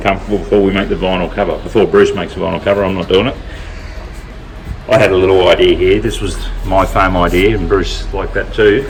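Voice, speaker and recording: With an Australian accent, a man talks very fast amid audible room echo and noticeable background noise. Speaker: vehicle builder and channel host. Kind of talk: casual workshop vlog.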